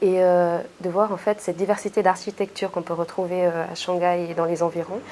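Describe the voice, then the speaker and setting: A woman speaks with monotone, flat intonation. Her pitch is medium and her pace moderate. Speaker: intern. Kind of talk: interview. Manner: hesitant, many fillers.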